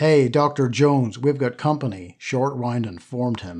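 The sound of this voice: An unforced reading voice with fairly even intonation carries the words.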